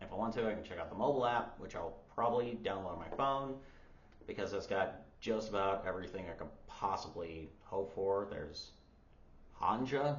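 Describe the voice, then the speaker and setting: A somewhat breathy man speaks at a moderate pace with a fairly low pitch and ordinary pitch variation. Audible room echo surrounds the voice. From United States. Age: 30s. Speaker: language learner vlogger. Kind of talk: casual vlog.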